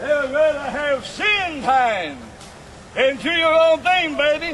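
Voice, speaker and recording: A man with an extremely high pitch and ordinary pitch variation speaks at a very slow pace over noticeable background noise. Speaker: open-air preacher. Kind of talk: open-air campus sermon. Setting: outdoors.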